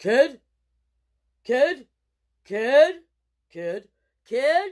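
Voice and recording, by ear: A high-pitched voice. It is a put-on character voice.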